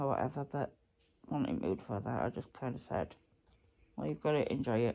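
Here a woman talks at a moderate pace. Behind her, things stay quiet. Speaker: vlogger. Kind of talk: casual vlog chat. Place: home room. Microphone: phone near.

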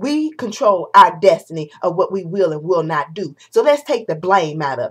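Against a quiet background, a woman talks at a moderate pace with very wide pitch swings. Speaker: vlogger. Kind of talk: opinion vlog rant. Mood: indignant, passionate. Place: home room. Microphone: webcam.

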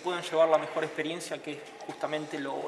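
A man talks while light noise sits in the background. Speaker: tourism worker or guide. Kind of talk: interview answer. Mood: calm, earnest. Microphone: handheld.

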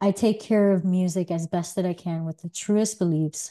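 Against a quiet background, a woman speaks with a fairly low pitch and a dark, mellow tone. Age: 30s. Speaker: podcast host. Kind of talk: solo monologue. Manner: hesitant, many fillers. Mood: thoughtful, calm. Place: home room.

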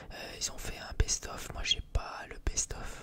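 A man whispers his words at a very slow pace. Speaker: music collector vlogger. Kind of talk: casual vlog chat. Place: home room. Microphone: studio mic.

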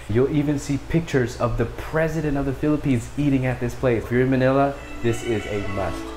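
With light background noise behind him, a man talks very fast with fairly even intonation. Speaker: food vlogger. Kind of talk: casual vlog chat. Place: home room. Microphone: phone near.

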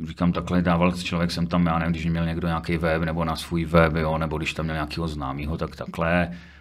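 Against a quiet background, a man with a very deep, low pitch talks at a fairly quick pace in a monotone, flat intonation, with hardly any pauses. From Czechia, Třinec (Silesia); Czechia. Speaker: football photographer and prison guard. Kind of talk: casual interview chat. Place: studio. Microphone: studio mic.

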